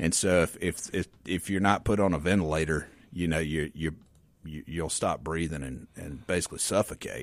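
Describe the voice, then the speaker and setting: Very deep, low male voice with vocal fry, fairly even intonation and a moderate pace. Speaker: physician at a men's health clinic. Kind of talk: radio interview. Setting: radio studio.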